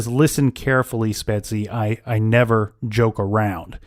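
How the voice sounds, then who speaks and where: In a put-on character voice, a man sounds gravelly at a medium pitch, moving at a moderate pace with a dry, close sound and no echo. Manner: threatening.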